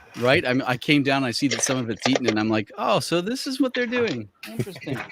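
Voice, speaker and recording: Against noticeable background noise, a man speaks very fast with lively intonation at a medium pitch. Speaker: LEGO hobbyist. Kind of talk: casual chat.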